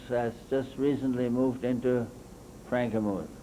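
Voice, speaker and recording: In an American accent, a man of medium pitch speaks at a fairly slow pace amid audible room echo. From Michigan, US Midwest. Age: 80s+. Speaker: local historian. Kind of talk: slide presentation. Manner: halting, with fillers.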